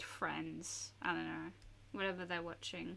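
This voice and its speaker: A soft-spoken woman with an Australian accent. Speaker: art streamer. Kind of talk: casual chat while drawing on livestream. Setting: home desk livestream. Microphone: sensitive studio mic on desk picks up vibrations.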